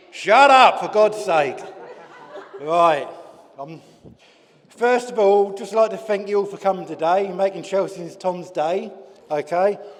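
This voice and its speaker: A man's high-pitched voice at a very slow pace, with long, frequent pauses, big swings in loudness and noticeable background noise. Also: ordinary pitch variation. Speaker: father of the bride. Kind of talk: wedding speech. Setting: wedding reception with audience.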